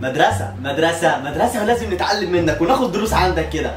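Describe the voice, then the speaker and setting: Music plays in the background while a man speaks at a moderate pace. Audible room echo is present. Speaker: comedy sketch actor playing several roles. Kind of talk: comedy sketch dialogue. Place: home room.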